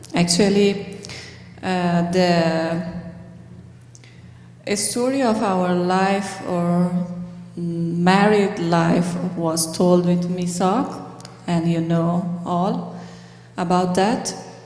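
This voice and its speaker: A woman's fairly low voice, very slow and fairly even in intonation, with long, frequent pauses, music in the background and audible room echo. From Afghanistan. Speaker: pharmacist and refugee speaker. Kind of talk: church talk with Q&A. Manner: halting, many hesitations.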